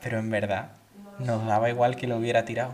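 Speaking at a medium pitch in an Andalusian accent, a man is heard with noticeable background noise and audible room echo. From Andalusia, Seville. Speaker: podcast co-host. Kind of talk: casual chat.

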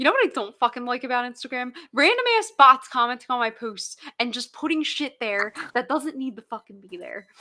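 A woman talks at a fairly quick pace in a fairly high pitch with an animated tone. Her bright, sharp tone carries vocal fry. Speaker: podcast host. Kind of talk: casual chat.

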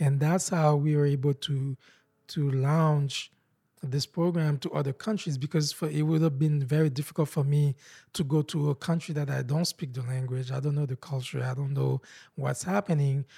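A man's fairly high, somewhat breathy voice at a moderate pace with fairly even intonation, in a very clean recording with a silent background. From Haiti. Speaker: nonprofit founder. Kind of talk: interview. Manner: halting.

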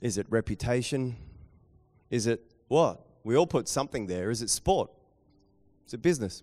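Talking with a New Zealand accent, a man keeps a moderate pace and a medium pitch. His intonation is lively, and he takes long, frequent pauses. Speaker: pastor. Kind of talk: sermon. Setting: church with live audience.

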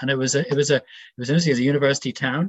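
The recording of a man with a Northern Irish accent sounds dry and close, with no echo. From Northern Ireland (Belfast). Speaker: retired civil servant. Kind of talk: casual interview. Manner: hesitant, thoughtful.

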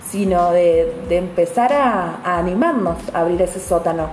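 A woman speaks at medium pitch with music in the background. The room's echo is audible. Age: 30s. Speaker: astrologer. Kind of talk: casual monologue podcast. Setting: home apartment.

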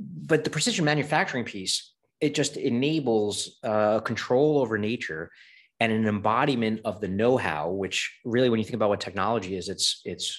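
Here a man talks at a fairly quick pace with ordinary pitch variation. His is a plain, everyday voice, fairly low in pitch. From New York, Brooklyn. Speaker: venture capitalist. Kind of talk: interview.

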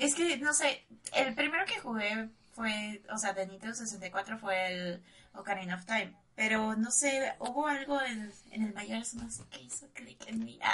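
With noticeable background noise behind her, a woman speaks in a fairly high voice with a Mexican accent. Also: ordinary pitch variation, fairly slow pace, big swings in loudness. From Mexico. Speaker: streamer. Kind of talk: casual chat.

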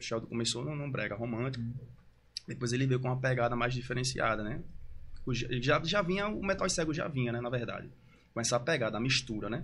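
Audible room echo follows a man as he speaks very fast. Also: medium pitch for a man, ordinary pitch variation. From Recife, Pernambuco, Brazil. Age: 30s. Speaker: brega funk singer. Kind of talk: casual interview.

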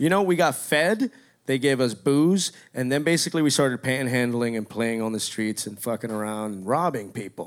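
A man talks in an American accent with lively intonation at a moderate pace. The recording is very clean and the background silent. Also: medium pitch for a man. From Miami, Florida. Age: 40s. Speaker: office worker telling a story. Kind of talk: live storytelling on stage. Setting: stage with audience.

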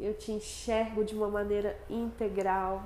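Audible room echo and noticeable background noise surround a woman speaking at a fairly slow pace. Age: 20s. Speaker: integrative therapist and podcast host. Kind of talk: casual monologue introducing the podcast.

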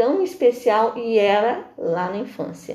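Noticeable background noise sits under speech whose pitch varies in an ordinary way. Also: woman. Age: 50s. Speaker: integrative therapist. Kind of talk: interview.

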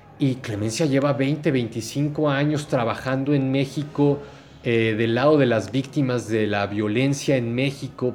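Fairly slow delivery from a man, with ordinary pitch variation. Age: 40s. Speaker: podcaster and researcher. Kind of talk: interview. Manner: halting.

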